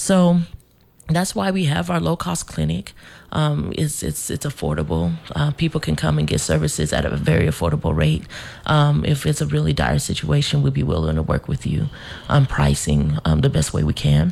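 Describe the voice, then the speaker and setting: Noticeable noise runs in the background. A woman keeps a moderate pace. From Denver, Colorado. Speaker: animal welfare center director. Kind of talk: casual radio interview. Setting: studio.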